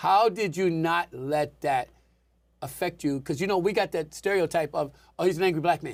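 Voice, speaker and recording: Keeping a moderate pace, a man talks in a high pitch with ordinary pitch variation. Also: very clean recording, silent background. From Washington DC area. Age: 60s. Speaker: talk show host. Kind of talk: interview.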